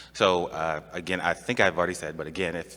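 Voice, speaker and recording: A man with a very deep, low voice and a bright, sharp tone speaks at a very fast pace. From US, Buffalo, New York. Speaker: government training presenter. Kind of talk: conference presentation. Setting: conference room with audience. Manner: halting, many fillers.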